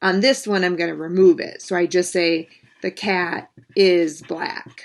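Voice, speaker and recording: A woman speaks at a medium pitch and a fairly slow pace, in an unremarkable speaking voice. The background is quiet. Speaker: math teacher. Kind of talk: lecture. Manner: casual.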